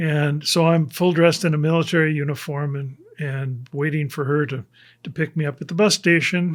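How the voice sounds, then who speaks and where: A man with a Minnesota accent and fairly high pitch, fairly even intonation and a moderate pace, on a very clean recording with a silent background. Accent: Upper Midwest (Minnesota) American. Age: 70s. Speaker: church member giving testimony. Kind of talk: testimony. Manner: halting.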